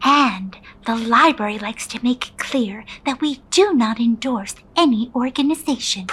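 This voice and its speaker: Pitched high, the woman performs in a put-on character voice. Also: moderate pace. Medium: audio drama. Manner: polite, professional.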